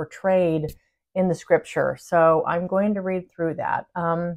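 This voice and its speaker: Against a quiet background, a woman speaks fairly slowly in a fairly low pitch with monotone, flat intonation. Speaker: spiritual channel host. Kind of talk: casual vlog chat. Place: home room. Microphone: phone near.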